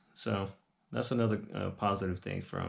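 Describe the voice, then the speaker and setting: In a very clean recording with a silent background, a man with an ordinary speaking voice talks fairly quickly at a fairly low pitch with ordinary pitch variation. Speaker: reseller vlogger. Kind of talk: casual vlog talk to camera.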